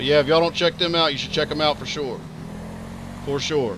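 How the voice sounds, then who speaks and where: A man with a Texas accent and a fairly high pitch, talking at a very fast pace with fairly even intonation, amid noticeable background noise. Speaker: video game streamer. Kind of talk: live stream commentary.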